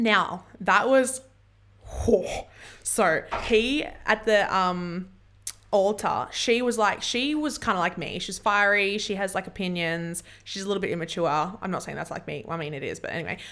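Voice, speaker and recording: A woman with an Australian accent, bright and sharp in tone, at a medium pitch and moderate pace, with lively intonation and big swings in loudness. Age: 20s. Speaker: podcast host. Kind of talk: casual chat. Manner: halting.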